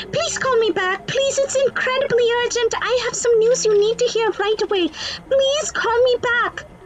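Over clear background noise, a woman speaks at a moderate pace in an extremely high voice with ordinary pitch variation. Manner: eager, polite.

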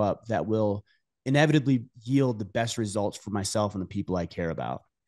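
A man speaks at a fairly quick pace with lively intonation and a dark, mellow tone. The background is quiet. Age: 40s. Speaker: podcast host. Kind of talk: casual interview conversation. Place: home room. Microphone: studio mic.

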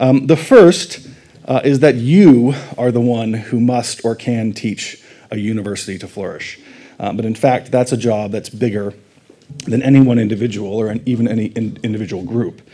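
Ordinary pitch variation and a moderate pace mark this man's speech. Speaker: conference speaker. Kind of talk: lecture. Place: hall.

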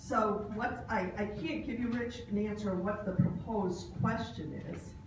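Audible room echo surrounds a woman speaking at a fairly slow pace, at medium pitch and with ordinary pitch variation.

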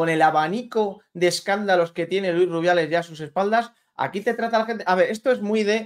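Ordinary pitch variation at a fairly quick pace over a quiet background. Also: man, high pitch for a man. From Spain, Valladolid; Spain. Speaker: sports journalist. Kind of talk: casual chat. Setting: video call. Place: home room. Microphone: studio mic.

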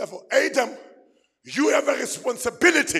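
Shouting in an extremely high pitch, a man sounds animated at a moderate pace against a quiet background. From South Africa. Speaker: pastor. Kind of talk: fiery call-and-response sermon to a men's gathering. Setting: church stage with live audience. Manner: animated, exhorting the crowd to shout back; repetitive, building emphasis through repeated phrases. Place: church. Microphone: handheld.

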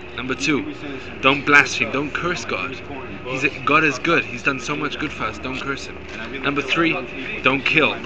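A man speaks at a fairly slow pace in a fairly high pitch, over noticeable background noise. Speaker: religious activist. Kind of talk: street debate. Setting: outdoors. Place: street.

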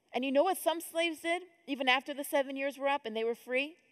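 Over a quiet background, a woman talks at a fairly quick pace in a high voice with lively intonation. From upstate New York (Rochester); New York. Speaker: conference speaker. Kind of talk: conference talk. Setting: stage with audience. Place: hall. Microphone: headset.

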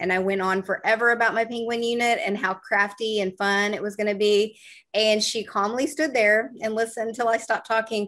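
At a fairly quick pace and with hardly any pauses, a woman speaks in an unremarkable speaking voice, pitched fairly high. Her intonation is fairly even, and the background is quiet. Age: 50s. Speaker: education coach and interview host; interview host, educator. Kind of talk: interview conversation. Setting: video call. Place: home room. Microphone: webcam.

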